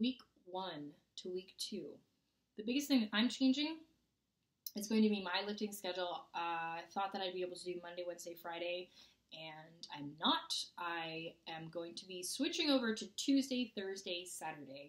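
Over a quiet background, a woman talks at a moderate pace with lively intonation. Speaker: fitness vlogger. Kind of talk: casual vlog chat. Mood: upbeat, playful. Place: home room. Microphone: webcam.

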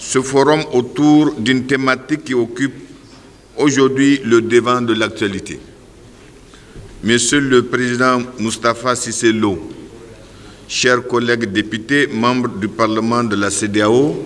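Pausing long and often, a man speaks at a very slow pace with fairly even intonation. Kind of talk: formal welcome speech. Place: hall. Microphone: podium.

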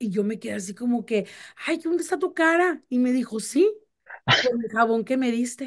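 A woman's high-pitched voice at a moderate pace, with lively intonation and a quiet background. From Mexico (Chihuahua). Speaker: radio host. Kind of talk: casual chat. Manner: animated.

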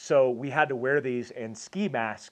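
A man is speaking, and the background is quiet. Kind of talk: casual vlog chat. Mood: nostalgic, warm. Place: home room. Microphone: lapel.

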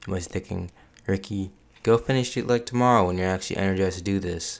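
A man with a very deep, low voice speaks at a very fast pace with fairly even intonation. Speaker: YouTuber. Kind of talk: casual vlog intro. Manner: long pauses; low-energy.

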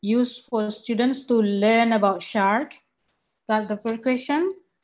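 With an Indonesian accent, a woman speaks in a fairly high pitch with fairly even intonation. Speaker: university lecturer and webinar moderator. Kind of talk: webinar presentation. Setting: video call.

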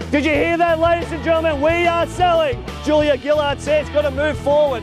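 With an Australian accent and an extremely high pitch, a man speaks over clear music in the background, the sound dry with no echo. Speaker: real estate auctioneer. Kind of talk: auction calling. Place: garden.

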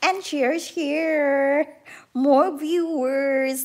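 Against a quiet background, a woman talks at a very slow pace. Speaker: live streamer. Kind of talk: casual vlog chat. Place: home room. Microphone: phone near.

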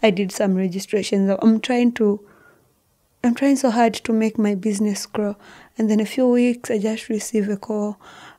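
A woman with a fairly high pitch and a dark, mellow tone speaks at a moderate pace with fairly even intonation over a quiet background. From Zambia. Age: 20s. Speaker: guest sharing life story; podcast guest. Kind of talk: emotional personal testimony. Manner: halting, repeats words. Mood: earnest, telling a hard story. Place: studio. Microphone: studio mic.

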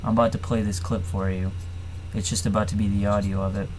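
Here a man has an ordinary speaking voice, fairly low in pitch and fairly quick in pace. Light background noise can be heard. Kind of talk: casual vlog chat. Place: home room. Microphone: webcam.

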